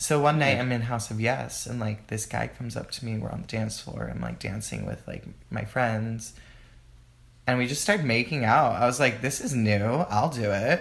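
Vocal fry runs through this man's medium-pitched voice as he talks at a moderate pace with ordinary pitch variation. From Texas, Houston, Mexican American household. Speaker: dancer and Pilates instructor. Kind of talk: casual chat.

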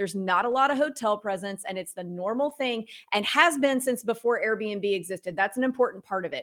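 A woman's plain, everyday voice, fairly high in pitch, with ordinary pitch variation and a fairly quick pace. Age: 30s. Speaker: real estate investor and author. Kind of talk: interview. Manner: casual.

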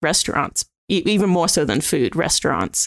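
A woman with an Australian accent, in a very clean recording with a silent background and a dry, close sound with no echo. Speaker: food critic. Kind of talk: casual chat.

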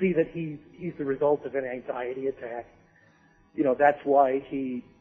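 With music in the background, a man speaks at a fairly high pitch. His intonation is fairly even and his pace moderate. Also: big swings in loudness. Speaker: podcast guest discussing films. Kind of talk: casual chat. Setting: phone call. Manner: halting, repeats words.

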